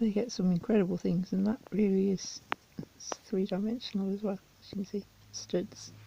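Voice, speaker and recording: A woman talks in a monotone, flat intonation with long, frequent pauses. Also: medium pitch for a woman, moderate pace. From English Midlands. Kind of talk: unboxing video talk to camera.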